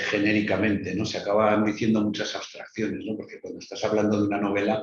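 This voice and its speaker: Somewhat breathy and fairly low-pitched, a man talks at a fairly quick pace. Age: 60s. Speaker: writer. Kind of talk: interview.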